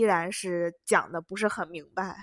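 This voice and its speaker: Against a quiet background, a woman speaks in an animated tone. Her pitch varies in an ordinary way. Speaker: international student podcaster. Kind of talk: casual monologue.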